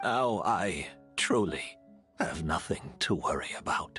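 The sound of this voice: In a put-on character voice with a husky, rough edge, the speaker goes at a slow pace with lively intonation and a fairly bright tone while faint music plays in the background. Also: man, low pitch for a man.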